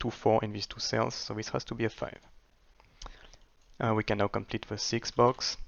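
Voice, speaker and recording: A man speaks at a fairly low pitch with vocal fry. His intonation is flat and monotone. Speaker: sudoku solver and video creator. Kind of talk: tutorial. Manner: hesitant with fillers.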